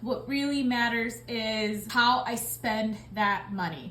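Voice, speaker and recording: The woman's tone is bright and sharp, her pitch fairly high. Room echo is audible. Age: 30s. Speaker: budgeting vlogger. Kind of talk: casual vlog talk. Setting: at home. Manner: chatty, filler-heavy.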